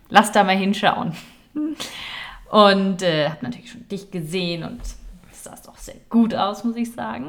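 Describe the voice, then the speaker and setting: A woman's very slow voice with big shifts in loudness and very wide pitch swings. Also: medium pitch for a woman. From Nuremberg, Franconia (Germany). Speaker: podcast co-host, sports news presenter. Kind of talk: casual chat.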